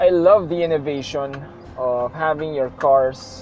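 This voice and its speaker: Music plays in the background as a man speaks very slowly. His voice is fairly high, with ordinary pitch variation. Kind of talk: casual vlog talk while driving. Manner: rambling, reflective.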